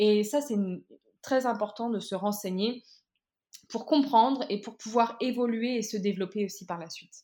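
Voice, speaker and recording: A woman speaks in a dark, mellow tone with ordinary pitch variation. Her loudness swings widely. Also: fairly high pitch for a woman, moderate pace. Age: 20s. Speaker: recent master's graduate, zero-waste Instagram creator. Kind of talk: casual interview. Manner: halting, many fillers.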